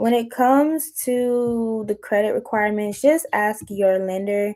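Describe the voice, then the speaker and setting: In an American accent, a dark, mellow voice moves at a very slow pace with fairly even intonation and hardly any pauses. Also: woman. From eastern North Carolina. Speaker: real estate agent. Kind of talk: seminar presentation.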